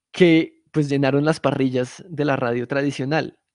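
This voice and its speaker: A man speaks fairly slowly at a medium pitch, his intonation fairly even. The sound is dry and close, with no echo. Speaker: podcast producer teaching a workshop. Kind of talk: lecture. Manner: casual, conversational.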